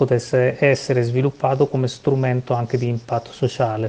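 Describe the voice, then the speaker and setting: In a normal speaking voice, a man talks at a medium pitch. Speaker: foundation secretary general. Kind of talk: interview.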